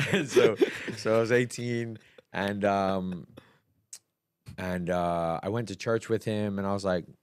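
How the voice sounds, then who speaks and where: In a slight Bermudian accent, a man speaks at a fairly slow pace with a fairly low pitch, fairly even intonation, and long, frequent pauses. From Bermuda. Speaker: church operations head and dancer. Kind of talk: testimony. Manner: loud.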